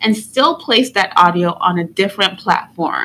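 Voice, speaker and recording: A woman speaks at a fairly slow pace. Her tone is bright and sharp, with lively intonation. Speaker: video creator, educator. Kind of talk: tutorial. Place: home room. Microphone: studio mic.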